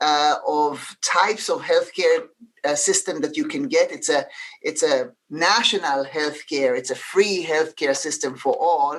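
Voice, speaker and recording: Someone with an Israeli accent speaks at a fairly slow pace. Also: woman. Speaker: healthcare leader. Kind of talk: panel discussion. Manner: halting, many fillers.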